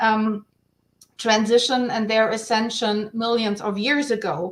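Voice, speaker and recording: A woman speaks in a German accent with a fairly high pitch. Her pace is fairly slow and her intonation fairly even. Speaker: guest on online round table. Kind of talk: casual panel discussion. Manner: halting, many restarts.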